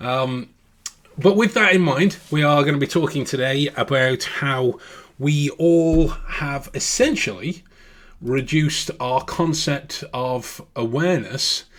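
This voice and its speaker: Here a man speaks with a British accent. He goes at a very slow pace. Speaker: podcast host. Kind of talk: casual podcast monologue. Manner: hesitant, many fillers.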